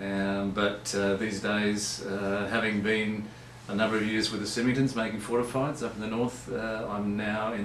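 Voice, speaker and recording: A man with an Australian accent speaks at a moderate pace and fairly low pitch, his intonation monotone and flat. Noticeable background noise and audible room echo fill the recording. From Australia, Barossa Valley. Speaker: winemaker. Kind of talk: live webcast chat. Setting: live video webcast. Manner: halting, many fillers.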